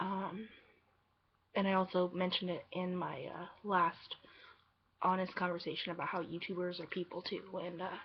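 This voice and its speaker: Soft-spoken with monotone, flat intonation, the voice leaves long, frequent pauses. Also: woman, medium pitch for a woman, moderate pace. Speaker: vlogger. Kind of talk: personal vlog confession. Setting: home at night. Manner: soft-spoken, talking quietly; halting, many fillers.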